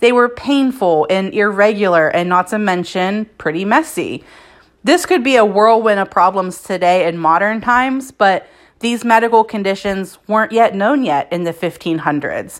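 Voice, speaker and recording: A woman with an ordinary speaking voice talks at a moderate pace and a medium pitch with lively intonation, in a very clean recording with a silent background. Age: 30s. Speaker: podcast host. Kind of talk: scripted narration. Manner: casual.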